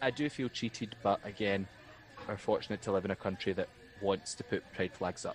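A fairly low-pitched man with a west of Scotland accent, at a fairly quick pace with fairly even intonation. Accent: Scottish (west of Scotland). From Scotland, East Ayrshire. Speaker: drag performer and law graduate. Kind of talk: casual chat.

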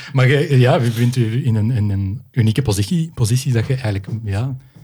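Somewhat breathy man at medium pitch and a moderate pace, with a dark, mellow tone and ordinary pitch variation. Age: 40s. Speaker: podcast host. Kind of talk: casual conversation.

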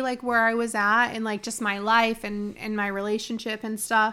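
A bright, sharp tone at a moderate pace. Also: woman. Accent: American. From Michigan. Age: 30s. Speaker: podcast co-host. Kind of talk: casual chat.

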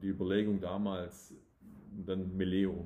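Monotone and flat, a man talks at a fairly slow pace with a fairly low pitch. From southwest Germany, Tübingen area (Swabia). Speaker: real estate developer. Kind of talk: casual interview. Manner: hesitant, many restarts.

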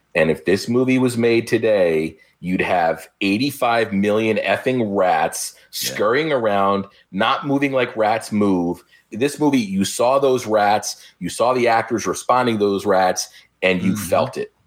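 A man of medium pitch has a normal speaking voice and ordinary pitch variation. He talks at a fairly slow pace with big swings in loudness. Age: 50s. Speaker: podcaster. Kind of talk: casual chat.

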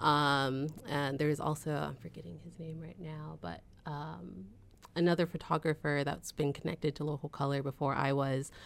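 A woman with a very deep, low pitch speaks with vocal fry. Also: ordinary pitch variation, moderate pace, big swings in loudness, very clean recording, silent background. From San Jose, California. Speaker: arts nonprofit associate director. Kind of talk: casual interview.

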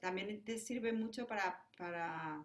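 With a Spanish accent, a woman talks at a fairly slow pace and keeps her intonation fairly even. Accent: Spanish (Spain). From Spain. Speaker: jazz pianist and composer. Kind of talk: interview conversation. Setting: remote call.

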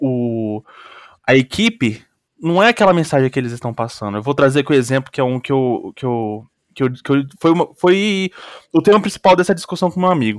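A man with a normal speaking voice, fairly high-pitched and lively, at a fairly quick pace, the sound dry and close with no echo on a very clean recording with a silent background. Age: 20s. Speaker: student podcast host. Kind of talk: casual interview.

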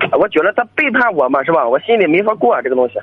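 Over noticeable background noise, a man's voice swings very widely in pitch. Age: young. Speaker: caller seeking advice. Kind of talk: call-in conversation. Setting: phone call.

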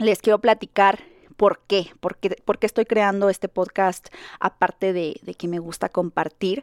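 Recorded in a dry, close sound with no echo, a woman with an unremarkable speaking voice and medium pitch talks at a fairly slow pace with fairly even intonation. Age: 30s. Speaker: content creator and podcast host. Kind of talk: casual monologue. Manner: rambling, with many fillers.

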